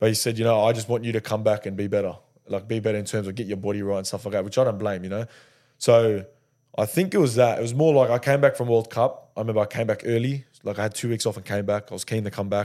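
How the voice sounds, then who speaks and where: In an Australian accent, a man speaks very fast with a fairly low pitch, a dark, mellow tone and fairly even intonation, on a very clean recording with a silent background. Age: 20s. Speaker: professional rugby league player. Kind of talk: casual interview chat.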